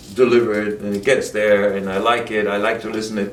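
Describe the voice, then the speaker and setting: With audible room echo, a man in a German accent talks at a very fast pace, fairly low in pitch, with monotone, flat intonation. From Germany. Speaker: actor and bodybuilder. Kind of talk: casual interview chat.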